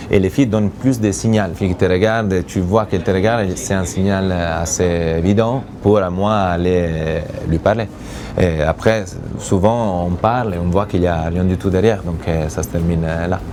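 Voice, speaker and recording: The speaker has an Italian accent and talks at a moderate pace. Intonation is fairly even, with noticeable background noise. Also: man, very deep, low pitch for a man. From Italy. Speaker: reality TV bachelor, businessman. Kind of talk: interview answer.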